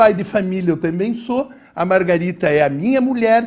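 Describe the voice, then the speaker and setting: A man speaks at a fairly slow pace. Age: 60s. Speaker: mayoral candidate. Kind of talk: political debate. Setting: TV studio.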